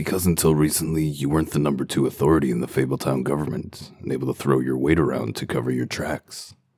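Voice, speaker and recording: Using a put-on character voice, a man talks at a very fast pace with a very deep, low pitch and hardly any pauses. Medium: dub.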